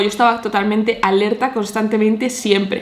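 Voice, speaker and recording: Noticeable background noise accompanies this woman's animated tone. She speaks fairly quickly at a fairly high pitch. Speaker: nutritionist and fitness vlogger. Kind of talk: personal testimony. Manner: fast.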